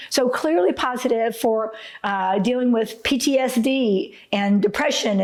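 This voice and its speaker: A woman's high voice with ordinary pitch variation, over noticeable background noise. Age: 60s. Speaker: retired attorney. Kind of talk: testimony to camera.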